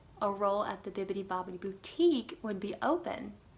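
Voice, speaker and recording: Speaking at a moderate pace, a woman with an American accent has an unremarkable speaking voice. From US South, South Carolina. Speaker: former theme park character performer. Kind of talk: personal story monologue.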